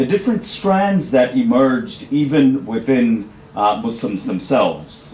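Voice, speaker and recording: The man talks fairly slowly, his pitch swinging very widely, with clear background noise behind him. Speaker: academic audience member asking question. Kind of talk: panel discussion question. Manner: loud; halting, many fillers. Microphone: no microphone.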